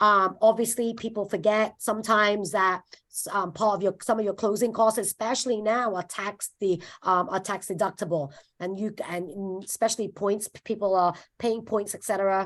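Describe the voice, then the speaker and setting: Over a quiet background, a woman speaks at a fairly quick pace with fairly even intonation and big swings in loudness. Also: medium pitch for a woman. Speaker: mortgage lender presenting to real estate agents. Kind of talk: presentation to agents on video call. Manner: halting with many fillers.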